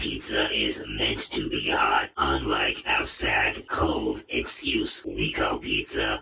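In a raspy, cartoonish character voice, a man speaks at a very slow pace over light background noise. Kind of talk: cartoon voice acting. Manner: deadpan, dry, sarcastic.

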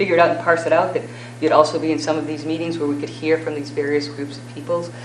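Very fast speech over noticeable background noise. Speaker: candidate for acting school superintendent. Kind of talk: job interview answer at public meeting. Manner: measured.

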